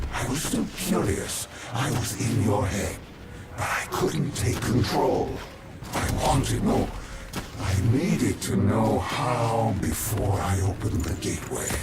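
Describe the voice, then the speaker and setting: A man's cartoonish character voice at medium pitch, fairly slow, with slight echo and loud background noise. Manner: menacing.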